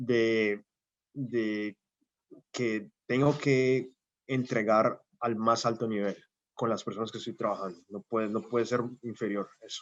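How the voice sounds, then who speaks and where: In a dry, close sound with no echo, a man talks fairly slowly at a medium pitch with ordinary pitch variation. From Colombia, Cali. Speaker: scientist, invited lecturer. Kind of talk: Q&A after lecture. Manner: hesitant, many fillers.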